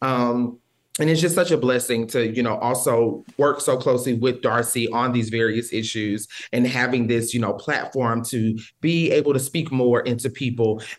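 A man talks in a normal speaking voice with an American accent, at medium pitch. His pace is moderate and his intonation fairly even. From Texas, near the Louisiana border. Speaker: policy advisor. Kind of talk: interview.

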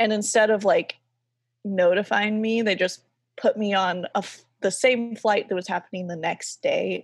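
In a plain, everyday voice, a woman with an American accent speaks at a moderate pace and a fairly high pitch, on a very clean recording with a silent background. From US South. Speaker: graphic designer and artist. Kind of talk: casual interview chat.

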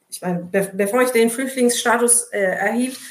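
There is audible room echo as a woman talks. Her pace is moderate and her pitch variation ordinary. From Turkey. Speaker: labour sociologist. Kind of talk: casual chat.

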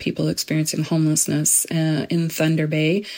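A woman's very deep, low voice, fairly quick and monotone, with noticeable background noise. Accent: Canadian. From Edmonton, Alberta, Canada. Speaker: housing rights advocate. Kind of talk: interview. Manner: hesitant, with fillers.

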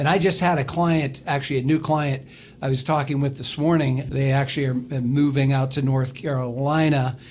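An ordinary speaking voice belongs to this man, pitched fairly high. He talks at a moderate pace with fairly even intonation. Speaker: wealth advisor. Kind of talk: casual radio chat.

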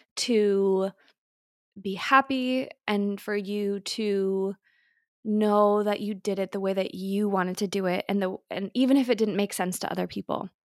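Her voice is a normal speaking voice, as a woman speaks at a fairly slow pace in a medium pitch with fairly even intonation, recorded very clean with a silent background and a dry, close sound with no echo. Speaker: podcast co-host, mother. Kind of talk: casual chat. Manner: warm, reflective.

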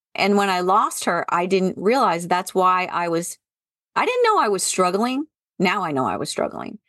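At a moderate pace, a woman with a medium pitch and ordinary pitch variation speaks in a normal speaking voice. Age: 50s. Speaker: podcast host and former college professor turned entrepreneur. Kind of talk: casual interview conversation.

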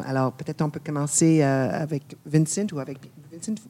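The speaker talks in a French accent at a fairly quick pace. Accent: Canadian English, non-native French. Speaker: presenter and interviewer. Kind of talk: interview conversation. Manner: bilingual, switching languages.

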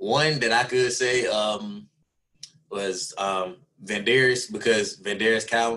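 Speaking at a very slow pace with a Southern US accent, a man has a bright, sharp tone and fairly even intonation. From Alabama, US South. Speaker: NFL wide receiver. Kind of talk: interview.

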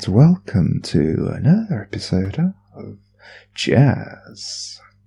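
Putting on a gravelly character voice at a fairly low pitch, a man speaks at a very slow pace in a very clean recording with a silent background. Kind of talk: radio announcer.

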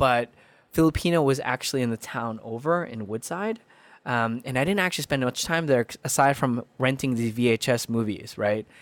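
A very clean recording, silent in the background, with ordinary pitch variation. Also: man. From Queens, New York (born in Philippines). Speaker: storyteller, nonprofit founder. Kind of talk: casual interview storytelling. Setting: podcast interview.

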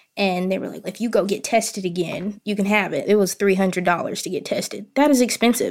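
A woman speaks at a very fast pace in an American accent, with hardly any pauses. Her pitch sits in the medium range and varies in an ordinary way. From US South, central Arkansas. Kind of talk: casual interview. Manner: confident, candid.

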